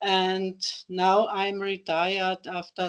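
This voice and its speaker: In an Austrian accent, a woman talks at a medium pitch with monotone, flat intonation. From Austria, Carinthia. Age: 60s. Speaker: retired teacher, table tennis player with Parkinson's. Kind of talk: interview. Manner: halting.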